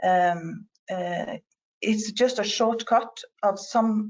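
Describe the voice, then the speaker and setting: A woman with a Norwegian accent speaks with fairly even intonation. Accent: non-native English, Norwegian. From Norway. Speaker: patient representative and parent. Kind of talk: conference presentation. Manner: halting, many fillers.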